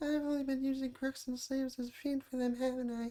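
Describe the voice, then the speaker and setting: In a put-on character voice, a high-pitched speaker rattles along at a very fast pace with monotone, flat intonation. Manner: smug.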